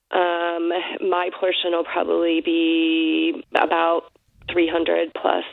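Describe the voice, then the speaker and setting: Speaking at a very slow pace, a woman with an American accent keeps her loudness very even. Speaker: caller. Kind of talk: casual chat. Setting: phone call. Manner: halting.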